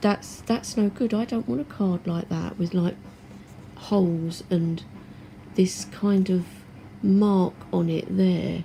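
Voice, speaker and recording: Soft-spoken and at a very slow pace, a woman talks with long, frequent pauses. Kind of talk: product review talk to camera. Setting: home, washing machine noise in background.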